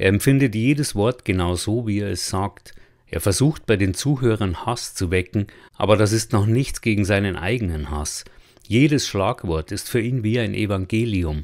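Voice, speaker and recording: A man with an unremarkable speaking voice talks at a moderate pace, his pitch fairly low with ordinary variation. The recording is very clean, the background silent. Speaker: audiobook narrator. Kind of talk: literary audiobook reading, first-person narration.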